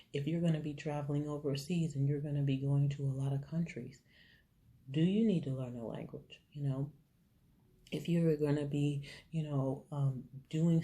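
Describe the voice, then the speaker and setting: Soft-spoken and somewhat breathy, a woman talks at a moderate pace in a very deep, low pitch. Her tone is dark and mellow, with fairly even intonation. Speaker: faith vlogger. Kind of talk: inspirational talk. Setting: hotel room.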